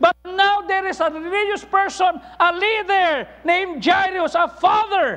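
A man projects a raised voice at an extremely high pitch, bright and sharp in tone. His intonation is fairly even and his pace fairly slow. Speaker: pastor. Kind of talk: sermon. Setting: church. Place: church. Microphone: lapel.

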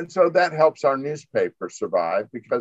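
A man speaks in an American accent at a moderate pace. The background is quiet and the sound is dry, with no echo. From Florida (Tampa). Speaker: newspaper editor and publisher. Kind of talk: interview. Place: home room. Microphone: video call.

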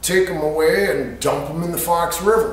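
This man's pitch sits fairly high. He talks at a fairly slow pace amid strong room echo.

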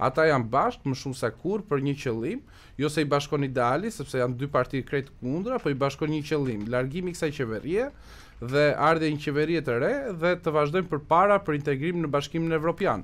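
The speaker is a man with a fairly high pitch. He talks at a very fast pace. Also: ordinary pitch variation. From Albania, Korçë; Albania. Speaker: Albanian emigrant commentator in US media. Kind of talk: radio interview. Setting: radio studio. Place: studio. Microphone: studio mic.

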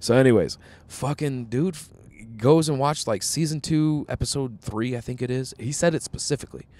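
Speaking at a fairly quick pace, a man has an American accent and a medium pitch. Music plays in the background. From US Midwest. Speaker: comedian and podcast host. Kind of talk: casual chat.

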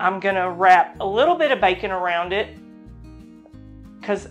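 A woman speaks with faint music playing in the background. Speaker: cooking show host. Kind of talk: tutorial. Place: home room. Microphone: lapel.

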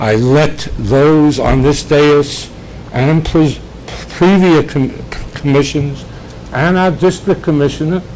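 Noticeable background noise sits behind a man speaking very slowly. His pitch is fairly high and his loudness very even. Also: ordinary pitch variation. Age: 70s. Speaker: longtime resident speaking at public comment. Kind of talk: public comment at city meeting. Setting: city commission meeting. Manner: formal.

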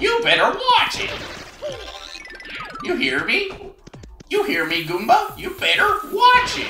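A fairly slow, put-on character voice from a man. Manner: threatening, tough.

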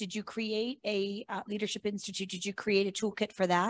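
With an American accent, a woman is talking. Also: dry sound with no echo. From Pittsburgh, Pennsylvania. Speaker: parent advocate. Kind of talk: audience question. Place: meeting room.

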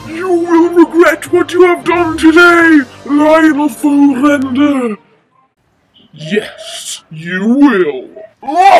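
Someone uses a put-on character voice, high-pitched and very slow. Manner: comically exaggerated pitch, dramatic.

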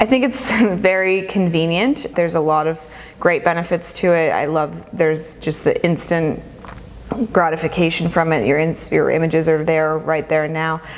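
Speaking with an American accent, a woman has a fairly low pitch and ordinary pitch variation at a moderate pace. Noticeable background noise is present. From Southern California, Los Angeles. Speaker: photographer. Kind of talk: interview.

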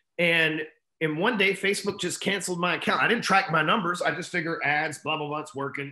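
Over a quiet background with audible room echo, a man with a Texan accent talks very fast at a high pitch with ordinary pitch variation. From Texas, Dallas. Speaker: entrepreneur and sales coach; sales coach. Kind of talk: interview storytelling. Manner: casual, profane. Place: home room. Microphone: video call.

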